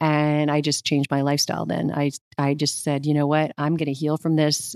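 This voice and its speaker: A woman with an American accent and a very deep, low pitch speaks at a fairly quick pace in a monotone, flat intonation, her loudness very even, in a very clean recording with a silent background and a dry, close sound with no echo. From Arizona. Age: 50s. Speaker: nutritionist. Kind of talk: interview.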